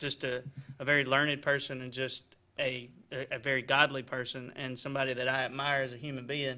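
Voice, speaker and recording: A man with a bright, sharp tone and medium pitch speaks at a fairly quick pace in a monotone, flat intonation. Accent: Alabama. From US South, Alabama (Daviston, Tallapoosa County). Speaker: probate judge. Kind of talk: casual radio interview.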